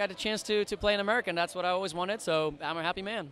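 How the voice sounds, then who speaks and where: The man's voice is raised and projected, with a bright, sharp tone. His pitch is high. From French-speaking Switzerland, Lausanne. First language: French. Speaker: singer. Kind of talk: red carpet interview. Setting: outdoors red carpet event.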